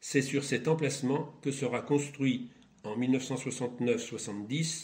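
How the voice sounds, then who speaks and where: Medium-pitched man, somewhat breathy, at a fairly slow pace with fairly even intonation. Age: 80s+. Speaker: retired schoolteacher. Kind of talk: testimony. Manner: formal.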